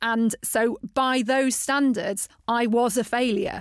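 On a very clean recording with a silent background, a woman with a British accent speaks at a high pitch, with fairly even intonation and a fairly slow pace. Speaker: podcast host. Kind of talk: interview conversation. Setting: studio.

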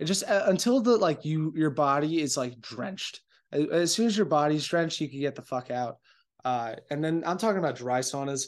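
This man has an ordinary speaking voice with a fairly high pitch and lively intonation. He talks at a fairly quick pace against a quiet background. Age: 20s. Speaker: podcast host. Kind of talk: casual monologue. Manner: casual, filler-heavy.

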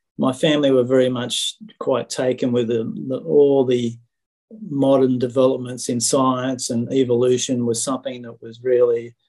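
The voice has a dark, mellow tone and an Australian accent. Delivery is monotone and flat, at a moderate pace. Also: man. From Sydney, Australia. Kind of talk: testimony. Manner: halting.

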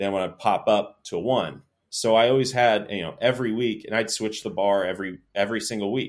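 An unremarkable speaking voice in an American accent, at a fairly quick pace with hardly any pauses and fairly even intonation. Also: man, fairly low pitch for a man. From North Florida, Tallahassee. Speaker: strength coach. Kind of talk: podcast interview.

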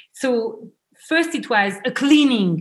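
She speaks with a French accent and a somewhat breathy voice. Her pitch variation is ordinary. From France. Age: 30s. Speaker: travel and wedding planner. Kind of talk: interview.

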